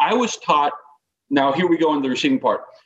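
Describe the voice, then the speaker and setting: In an American accent, a man with an unremarkable speaking voice talks at a fairly high pitch with lively intonation. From Northern California. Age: 50s. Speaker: baseball coach. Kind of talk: casual chat.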